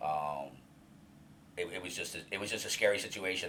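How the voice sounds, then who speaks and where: Fairly quick male speech amid noticeable background noise and audible room echo. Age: 50s. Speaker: senior alumni coordinator in addiction recovery, former patient. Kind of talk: interview about personal recovery story. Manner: halting, many fillers and repetitions.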